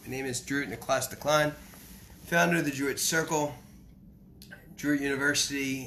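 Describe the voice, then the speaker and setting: A man with a medium pitch speaks at a fairly quick pace, with audible room echo. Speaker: spiritual teacher. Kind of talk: lecture. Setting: live stream. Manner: halting.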